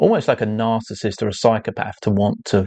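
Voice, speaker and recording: The speaker has an English accent and a moderate pace. The intonation stays monotone and flat. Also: man. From England. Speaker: artist and livestreamer. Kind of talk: casual livestream talk. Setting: live stream. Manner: hesitant, repeats words.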